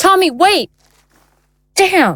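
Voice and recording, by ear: A woman's put-on character voice, extremely high in pitch with big pitch swings, fairly bright in tone, at a very slow pace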